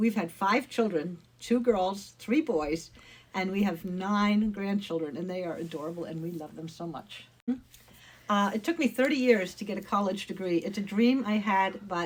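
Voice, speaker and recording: A woman with a medium pitch talks in a warm, somewhat breathy tone with lively intonation. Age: 70s. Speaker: retired church missionary. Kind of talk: personal testimony. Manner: warm, conversational.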